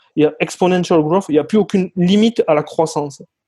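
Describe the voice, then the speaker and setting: A man with a fairly high pitch, a dry, close sound with no echo and a quiet background. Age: 30s. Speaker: sales closer. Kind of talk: interview.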